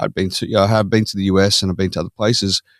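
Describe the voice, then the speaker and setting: Speech at a very fast pace in an Australian accent, with a dry, close sound with no echo, comes through on a very clean recording with a silent background. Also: man. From Australia (Perth). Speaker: podcast guest. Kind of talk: casual interview chat.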